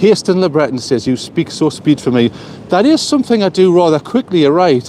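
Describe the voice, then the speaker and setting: Talking at a fairly quick pace in a Geordie accent, a man with a fairly high pitch is heard over noticeable background noise. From northern England, Newcastle. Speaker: vlogger. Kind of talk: casual live stream chat. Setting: outdoors, walking by the coast. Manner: fast.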